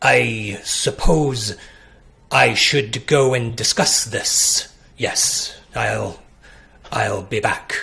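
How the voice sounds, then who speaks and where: A man puts on a character voice at medium pitch, talking at a very slow pace with long, frequent pauses. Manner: hesitant, uncertain, awkward.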